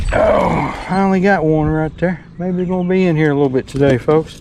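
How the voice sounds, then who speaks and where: A man with a Southern US accent speaks at a high pitch with fairly even intonation. Noticeable background noise sits behind him. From Tennessee. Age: 60s. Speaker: bank fisherman. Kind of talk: casual talk to camera. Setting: outdoors.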